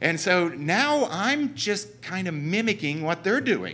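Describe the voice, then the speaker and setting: A man's high-pitched, bright and sharp voice with a southern Ohio accent, very wide pitch swings and a very slow pace. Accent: Southern Ohio, noticeable. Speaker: church speaker. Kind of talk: church talk.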